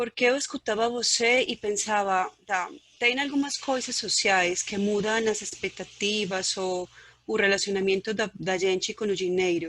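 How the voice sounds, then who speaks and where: The speaker has a non-native accent and talks at a fairly slow pace. Pitch varies in an ordinary way. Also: woman, medium pitch for a woman. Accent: foreign accent in Portuguese. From Colombia. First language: Spanish (speaking Portuguese). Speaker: audience member asking a question. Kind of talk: question in online Q&A.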